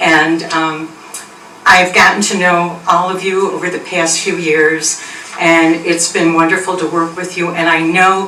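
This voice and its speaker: Over noticeable background noise and audible room echo, a woman talks at a moderate pace with a fairly low pitch. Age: 70s. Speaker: resident speaking at public comment. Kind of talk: public comment at town meeting. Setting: town board meeting.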